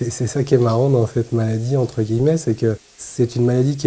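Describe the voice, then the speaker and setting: A man talks at a medium pitch and a fairly quick pace. His intonation stays fairly even. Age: 30s. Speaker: person living with muscular dystrophy, documentary subject. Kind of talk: documentary interview testimony. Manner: hesitant, many filler pauses.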